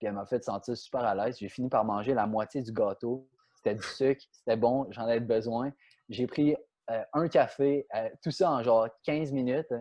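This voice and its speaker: A man speaks in a Quebec accent at a medium pitch. His pace is moderate and his pitch variation ordinary. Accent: Quebec French accent, noticed in France. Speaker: professional soccer player. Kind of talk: podcast interview, storytelling. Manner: many repetitions and hesitations.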